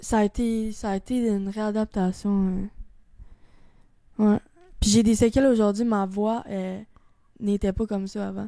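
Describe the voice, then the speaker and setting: A woman speaks at a fairly slow pace with long, frequent pauses, in a Quebec accent. Her medium-pitched voice has a dark, mellow tone and monotone, flat intonation. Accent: Québécois French. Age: 20s. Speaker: guest sharing suicide attempt story. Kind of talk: testimony. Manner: casual.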